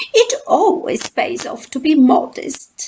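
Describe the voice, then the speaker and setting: A woman speaks at a very slow pace, her extremely high voice making very wide pitch swings. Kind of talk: children's picture book reading.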